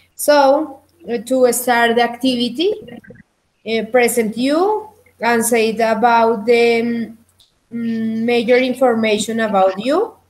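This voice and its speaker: The speaker has a Spanish accent and talks at a very slow pace. The intonation stays fairly even. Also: woman. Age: 20s. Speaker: English teacher. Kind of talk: online language lesson. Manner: halting.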